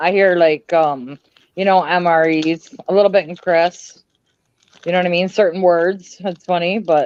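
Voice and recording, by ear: A woman with a plain, everyday voice speaks at a moderate pace, her pitch fairly low and her intonation fairly even. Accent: Canadian.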